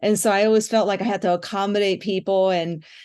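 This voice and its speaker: A woman with an unremarkable speaking voice talks in an American accent at a moderate pace. Her pitch is medium with ordinary variation, over a quiet background. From US and Japan, mostly Los Angeles and New York. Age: 60s. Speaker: musician. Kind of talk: interview.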